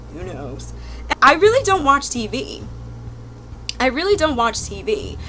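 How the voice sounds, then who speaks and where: With an American accent, a woman talks at a fairly slow pace in an animated tone, leaving long, frequent pauses, her loudness swinging widely over noticeable background noise. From South Jersey, near Philadelphia. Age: 20s. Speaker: YouTube vlogger. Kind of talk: casual chat.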